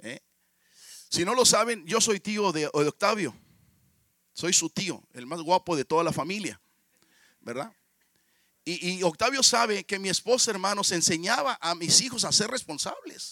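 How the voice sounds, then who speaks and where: A man speaks at a fairly slow pace with long, frequent pauses, his high-pitched voice raised and projected, its tone bright and sharp. The intonation is lively, and the sound is dry and close with no echo. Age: 50s. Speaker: pastor. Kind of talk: sermon.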